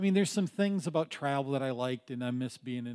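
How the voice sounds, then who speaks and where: A man talks in a normal speaking voice at a fairly high pitch. His pitch varies in an ordinary way. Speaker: congregation member sharing. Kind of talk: personal testimony.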